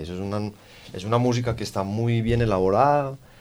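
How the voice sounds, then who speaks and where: A man talks at a moderate pace with fairly even intonation. His is an unremarkable speaking voice. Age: 30s. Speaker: rock band guitarist. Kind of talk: interview.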